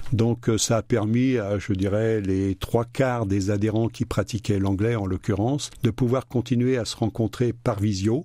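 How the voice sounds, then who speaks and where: At a fairly slow pace, a man with medium pitch has a dark, mellow tone on a very clean recording with a silent background. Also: fairly even intonation. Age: 70s. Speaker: association president. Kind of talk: radio interview. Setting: studio.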